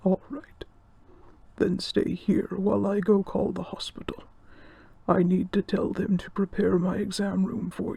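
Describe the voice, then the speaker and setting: A man puts on a character voice pitched high, leaving long, frequent pauses. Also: moderate pace. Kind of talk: audio roleplay. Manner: calm, reassuring.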